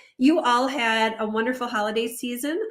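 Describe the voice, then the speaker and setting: A woman's high, raised and projected voice with ordinary pitch variation and audible room echo. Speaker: HR consultant hosting a live stream. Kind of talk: live stream talk. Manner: halting, many fillers.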